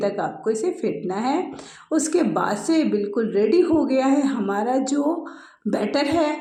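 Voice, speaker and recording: A woman's high voice at a very slow pace, with very wide pitch swings, audible room echo and noticeable background noise. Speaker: cooking channel host. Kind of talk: cooking tutorial. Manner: chatty, conversational.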